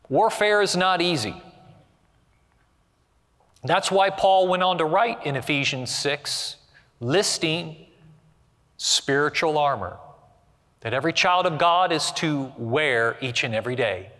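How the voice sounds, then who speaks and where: Over a quiet background, a man with a bright, sharp tone speaks with long, frequent pauses. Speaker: preacher. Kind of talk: sermon. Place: studio.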